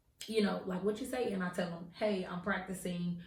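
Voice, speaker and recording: A woman's voice with audible room echo. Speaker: podcast co-host. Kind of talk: casual chat. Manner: loud.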